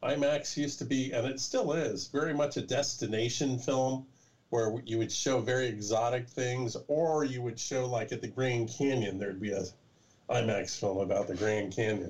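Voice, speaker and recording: The voice is somewhat breathy, with an American accent. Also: man, medium pitch for a man, ordinary pitch variation, moderate pace. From California. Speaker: documentary filmmaker. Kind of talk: casual interview.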